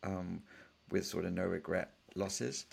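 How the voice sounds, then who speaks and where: With a British accent and vocal fry, a man speaks on a very clean recording with a silent background. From England. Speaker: startup founder and venture capitalist. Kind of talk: interview.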